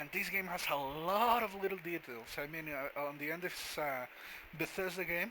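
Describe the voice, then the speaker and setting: This man has a bright, sharp tone, a high pitch and a non-native accent. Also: ordinary pitch variation, moderate pace. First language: not English. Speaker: gaming commentator. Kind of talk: gameplay commentary. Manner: halting.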